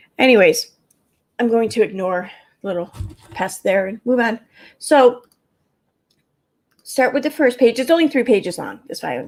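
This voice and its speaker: Speaking in a Midwestern accent, a woman uses a fairly high pitch, lively intonation and a moderate pace. Her loudness swings widely, and she takes long, frequent pauses. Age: 40s. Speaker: YouTube livestreamer. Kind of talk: casual livestream chat; reading aloud court documents. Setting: live stream.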